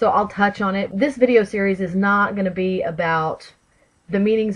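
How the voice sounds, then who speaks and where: Over a quiet background, a woman with a Texan accent speaks at a fairly slow pace, somewhat breathy, with ordinary pitch variation. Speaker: tarot video creator. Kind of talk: casual vlog talk. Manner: chatty, with many fillers.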